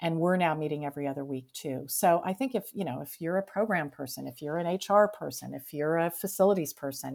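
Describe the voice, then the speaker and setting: The recording is very clean, with a silent background. A woman speaks with ordinary pitch variation. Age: 50s. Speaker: museum director. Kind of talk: interview.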